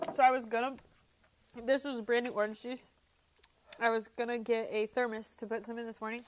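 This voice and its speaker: Flat and monotone, a woman speaks at a fairly high pitch and fairly quick pace with long, frequent pauses. Light background noise is present. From US Midwest. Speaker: horticulture teacher. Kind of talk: casual interview. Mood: relaxed, chatty. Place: studio. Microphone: lapel.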